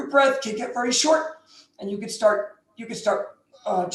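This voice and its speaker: A put-on character voice, raspy and strained, sits at a fairly high pitch. The pace is moderate. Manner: shallow breathing.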